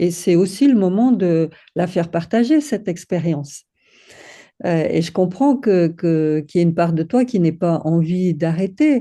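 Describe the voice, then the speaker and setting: The delivery is fairly slow, with lively intonation. The background is quiet. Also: woman. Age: 60s. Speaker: women's circle co-facilitator. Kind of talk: casual chat. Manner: halting.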